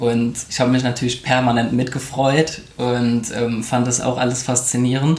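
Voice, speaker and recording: With noticeable background noise behind him, a man speaks at a moderate pace and medium pitch in a flat monotone, with very even loudness and hardly any pauses. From Koblenz, western Germany. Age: 30s. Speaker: architect and new father. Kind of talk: interview.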